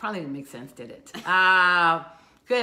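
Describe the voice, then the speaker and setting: In a room with audible echo, a woman talks at a moderate pace in a fairly low voice. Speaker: local community live show co-host. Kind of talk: casual chat. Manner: loud. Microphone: no microphone worn, room audio.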